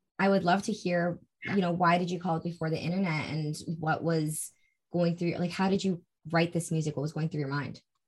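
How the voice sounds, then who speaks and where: A woman's somewhat breathy, fairly low voice, fairly quick and flat in a monotone delivery. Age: 20s. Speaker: podcast host. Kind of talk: casual interview chat.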